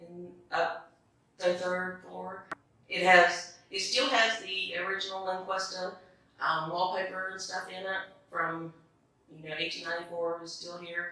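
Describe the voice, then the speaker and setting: A woman's very slow, flat, monotone voice in strong room echo. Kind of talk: interview answer. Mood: warm, fond. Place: home room.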